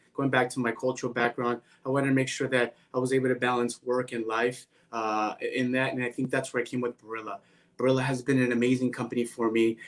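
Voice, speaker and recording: At a very fast pace, a man speaks with monotone, flat intonation at a medium pitch. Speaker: finance executive. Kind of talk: interview. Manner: loud.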